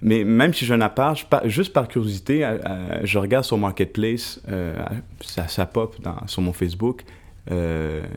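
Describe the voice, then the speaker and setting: Speaking at a moderate pace, a man uses an unremarkable speaking voice with a fairly low pitch. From Montreal, Quebec (Plateau Mont-Royal). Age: 30s. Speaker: photographer and journalist. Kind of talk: podcast panel discussion.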